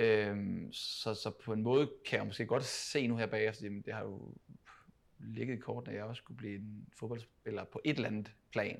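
A man talks at a moderate pace, his volume rising and falling in big swings. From Denmark, Funen (Odense). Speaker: professional footballer, team captain. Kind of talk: interview conversation. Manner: halting, many repetitions.

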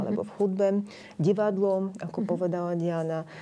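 A woman with a Bulgarian accent talks at a medium pitch with fairly even intonation. Noticeable background noise runs underneath. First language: Bulgarian (speaking Slovak). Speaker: painter and cultural organizer. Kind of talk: panel discussion.

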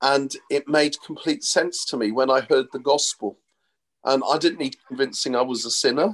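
In a normal speaking voice, a man talks at a moderate pace and a fairly high pitch with ordinary pitch variation, the sound dry and close with no echo. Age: 60s. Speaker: pastor. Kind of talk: interview. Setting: video call.

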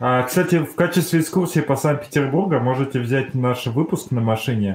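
Somewhat breathy and medium in pitch, a man speaks at a moderate pace with lively intonation. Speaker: podcast host. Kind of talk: casual chat.

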